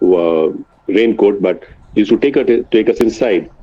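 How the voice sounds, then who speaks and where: A man keeps a medium tempo while clear noise runs in the background. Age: 60s. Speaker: financial advisor. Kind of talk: webinar talk.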